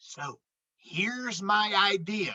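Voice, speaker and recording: The put-on character voice sits at a fairly high pitch. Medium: read story.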